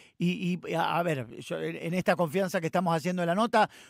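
With a Rioplatense accent, a man talks at a fairly quick pace in a high pitch for a man, recorded dry with no echo against a quiet background. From Argentina. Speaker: radio host. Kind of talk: radio interview. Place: studio.

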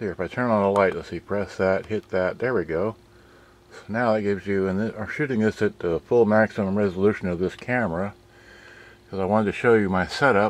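A man speaks at a fairly low pitch in an unremarkable speaking voice, his intonation fairly even. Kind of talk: casual vlog chat. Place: home room. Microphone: phone near.

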